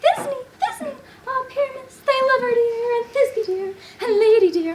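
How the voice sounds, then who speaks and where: Extremely high-pitched, a put-on character voice. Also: moderate pace. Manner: theatrical, comic, lamenting.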